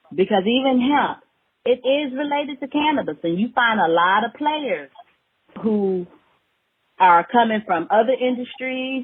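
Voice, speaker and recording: A woman with an American accent talks in an animated tone at a moderate pace. Her fairly high voice has lively intonation. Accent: Alabama dialect, comes out at times. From Alabama, US South. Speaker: hemp farmer and business owner. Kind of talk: casual podcast interview. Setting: studio.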